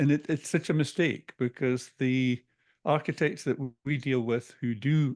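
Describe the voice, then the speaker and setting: A man with a Scottish accent at medium pitch, fairly slow and fairly even, in a dry, close sound with no echo and a quiet background. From Scotland. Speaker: business coach. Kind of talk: interview.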